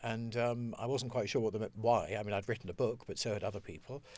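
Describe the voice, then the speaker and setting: On a very clean recording with a silent background, the speaker goes at a fairly quick pace. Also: man. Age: 50s. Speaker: nutritionist. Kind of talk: interview. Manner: halting.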